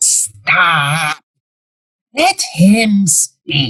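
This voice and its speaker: This put-on character voice sits at a middle pitch. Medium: audio drama. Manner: suave, calm.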